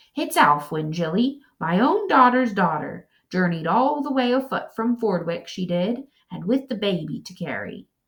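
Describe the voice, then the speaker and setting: Using a whiny, put-on character voice, a woman speaks at medium pitch and a moderate pace. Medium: read story. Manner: querulous, whining.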